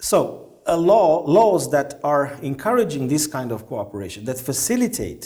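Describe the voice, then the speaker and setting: Heard with audible room echo, a man with a Romanian accent speaks in a dark, mellow tone. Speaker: diplomat. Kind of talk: interview. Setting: conference event. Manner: halting, many fillers.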